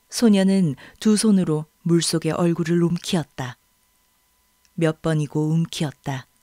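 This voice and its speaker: A woman with a fairly low pitch speaks at a very slow pace, her tone calm, gentle, dark and mellow, with ordinary pitch variation and long, frequent pauses. The recording is very clean, dry and close, with no echo and a silent background. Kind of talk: audiobook reading of a literary novel, third-person narration. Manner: measured, calm storyteller pace with gentle, expressive narration.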